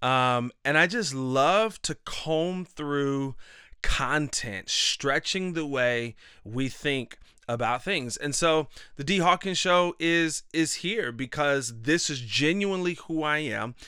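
On a very clean recording with a silent background, a man with a fairly high pitch and a bright, sharp tone talks at a very slow pace with lively intonation. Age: 30s. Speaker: podcast host and life coach. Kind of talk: motivational monologue. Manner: animated.

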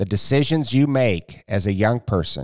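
A man at a moderate pace, with a dry, close sound, no echo, and a very clean recording over a silent background. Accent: American. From Iowa, US Midwest. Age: 50s. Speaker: author and personal finance educator. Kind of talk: interview.

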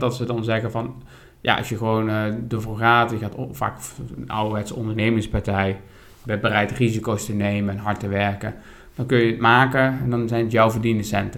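A man at a medium pitch with monotone, flat intonation and a fairly quick pace. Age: 30s. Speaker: podcast co-host. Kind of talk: casual chat about politics.

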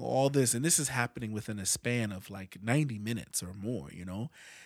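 At a fairly quick pace, a man with a plain, everyday voice and medium pitch speaks with ordinary pitch variation in a very clean recording with a silent background. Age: 40s. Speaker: podcast host. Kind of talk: solo podcast monologue, movie review and personal grief. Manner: casual, conversational.

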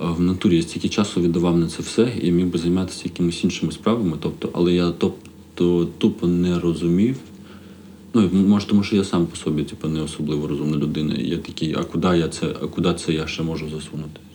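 This man's voice is very deep and low, with a dark, mellow tone. He talks at a very fast pace with fairly even intonation. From Odesa region, Ukraine. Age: 30s. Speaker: stand-up comedian. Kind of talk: casual chat. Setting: hotel room.

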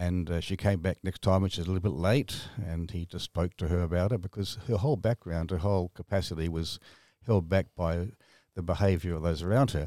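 Very deep and low in pitch, a man with an Australian accent talks at a fairly quick pace with ordinary pitch variation, recorded very cleanly against silence with a dry, close sound and no echo. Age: 70s. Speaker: author. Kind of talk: interview. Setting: studio.

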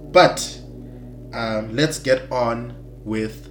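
A man talks at a very slow pace. Audible room echo and noticeable background noise surround his voice. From South Africa, Eastern Cape. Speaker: podcast host. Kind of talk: faith podcast monologue. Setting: recording alone. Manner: halting, many fillers.

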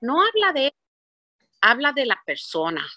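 A woman with an English accent and a bright, sharp tone, in a dry, close sound with no echo and a quiet background. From Puerto Rico. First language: English (speaking Spanish). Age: 60s. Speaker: business executive. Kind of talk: interview.

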